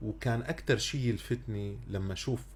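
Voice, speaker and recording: A man with a Syrian accent talks at a very slow pace. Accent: Syrian Arabic (Levantine). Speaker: radio podcast host. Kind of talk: radio interview. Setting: radio studio, on air.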